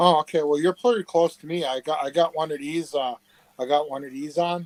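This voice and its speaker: With an American accent, a man in an ordinary speaking voice talks at a fairly high pitch with ordinary pitch variation and big swings in loudness. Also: fairly quick pace, dry, close sound with no echo. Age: 60s. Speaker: relative of a case subject. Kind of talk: casual chat. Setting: live video chat.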